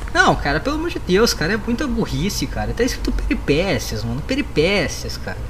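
A man talks fairly quickly in a space with audible room echo and noticeable background noise. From Rio Grande do Sul, Brazil. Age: 20s. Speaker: podcaster. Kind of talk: casual chat.

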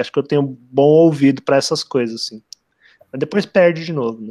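A man's fairly high-pitched voice, dark and mellow in tone, at a fairly quick pace, with a dry, close sound and no echo. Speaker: literature podcast co-host. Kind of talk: casual chat.

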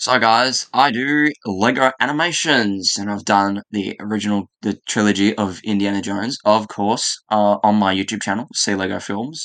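A man's normal speaking voice, fairly low in pitch, at a moderate pace with ordinary pitch variation, hardly any pauses, and a quiet background. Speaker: stop motion animator. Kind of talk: casual chat.

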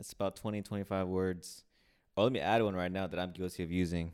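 A man with a fairly low pitch, talking at a very fast pace. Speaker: podcast co-host. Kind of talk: casual chat. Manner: heavy breathing into mic.

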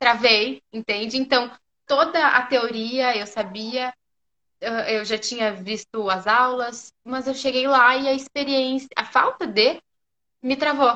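A woman speaks in a high voice at a very slow pace. Her intonation stays fairly even. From southern Brazil, Porto Alegre. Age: 20s. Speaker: physiotherapy student. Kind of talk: casual interview on a live stream.

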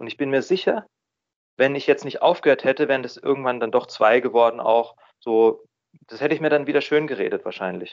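With ordinary pitch variation, a man whose voice sits fairly high talks at a fairly quick clip. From Baden, southwest Germany (Freiburg). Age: 30s. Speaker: recovering drinker, office employee. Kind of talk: interview. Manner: hesitant, many filler sounds.

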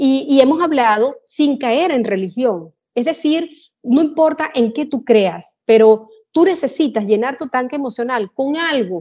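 Her voice high-pitched with a dark, mellow tone, a woman speaks at a fairly slow pace with lively intonation. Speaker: general manager. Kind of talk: interview.

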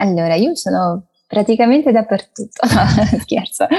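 At a fairly slow pace, a woman speaks with a Portuguese accent. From Brazil, Brasilia, moved to Italy at six. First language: Portuguese (speaking Italian). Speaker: language content creator. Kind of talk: interview.

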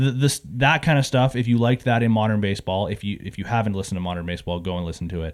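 Rushing at a very fast pace, a man speaks with hardly any pauses. His pitch is fairly low, with ordinary variation. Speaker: podcast co-host. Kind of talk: casual chat.

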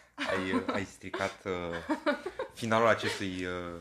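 Speaking very slowly, a man with a very deep, low pitch and a bright, sharp tone uses ordinary pitch variation. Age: 20s. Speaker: podcast co-host, corporate PR worker. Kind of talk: casual chat.

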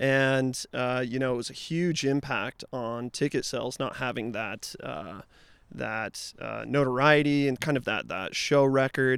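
An ordinary speaking voice from a man, medium in pitch with ordinary pitch variation, fairly slow, with an American accent. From Utah. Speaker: music event promoter. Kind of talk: casual interview chat.

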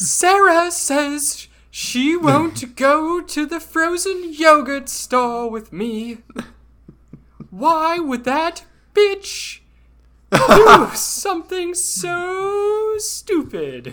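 A put-on character voice pitched high. It moves at a very slow pace. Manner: mocking.

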